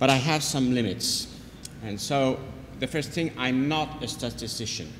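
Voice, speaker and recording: The man speaks fairly slowly. His words carry audible room echo. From France. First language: French. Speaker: neonatologist and epidemiologist teaching a workshop. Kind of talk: workshop lecture. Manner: hesitant with fillers.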